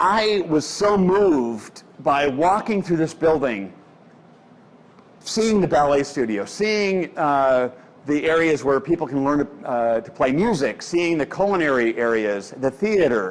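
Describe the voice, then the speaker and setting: A loud man with an American accent speaks at a fairly slow pace, his fairly high pitch making very wide swings. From Omaha, Nebraska (US Midwest). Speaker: editorial cartoonist. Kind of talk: public talk. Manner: halting, many fillers.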